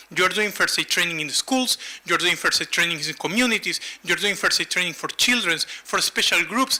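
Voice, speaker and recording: Background noise is noticeable as a man with a Latin American accent speaks at a fairly quick pace. His pitch is high and his intonation lively. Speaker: humanitarian first aid expert. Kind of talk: conference presentation.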